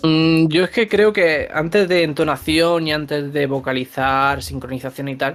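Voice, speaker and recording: Here is a man with a plain, everyday voice and a fairly high pitch. He goes at a fairly slow pace with hardly any pauses and ordinary pitch variation. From Andalusia, Granada (Spain). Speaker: voice actor. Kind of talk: interview.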